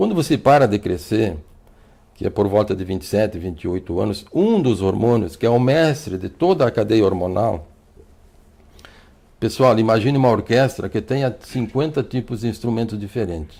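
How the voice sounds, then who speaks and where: A man speaks in a dark, mellow tone at a medium pitch. His pace is moderate and his intonation lively. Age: 60s. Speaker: physician. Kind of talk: TV health interview. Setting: TV studio. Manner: fluent, repetitive restarts.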